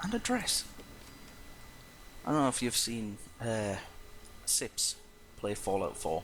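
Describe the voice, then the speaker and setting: A soft-spoken man talks at a fairly slow pace with very even loudness and long, frequent pauses. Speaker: let's play gamer. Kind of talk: gameplay commentary. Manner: trying to talk louder than usual.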